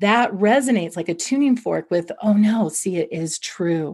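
A somewhat breathy, medium-pitched woman's voice with lively intonation at a moderate pace. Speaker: clinical psychologist. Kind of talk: interview.

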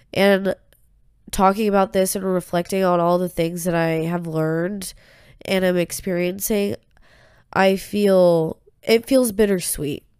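In a dry, close sound with no echo, a woman of medium pitch speaks with fairly even intonation, leaving long, frequent pauses. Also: fairly slow pace. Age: 20s. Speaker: solo podcaster. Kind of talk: personal monologue. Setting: alone in bedroom. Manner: casual, rambling with false starts. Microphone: new USB microphone.

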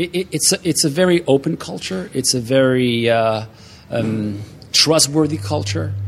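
A man speaks at a moderate pace in a French accent, his pitch medium. Noticeable background noise sits behind him. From Montreal, Quebec. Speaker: author and speaker. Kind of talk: interview chat. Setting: sitting on a couch at a conference.

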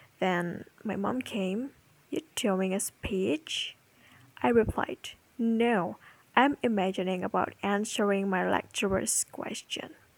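Very slow speech in a non-native accent, with ordinary pitch variation. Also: woman, medium pitch for a woman. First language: not English. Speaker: podcaster. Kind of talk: personal monologue. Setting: home recording.

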